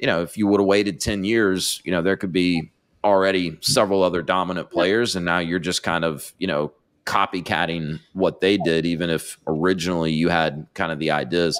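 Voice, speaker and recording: Against a quiet background, a man with an American accent talks at a fairly quick pace in a very deep, low pitch with fairly even intonation. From North Carolina. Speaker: podcast host. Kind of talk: interview. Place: studio. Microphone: studio mic.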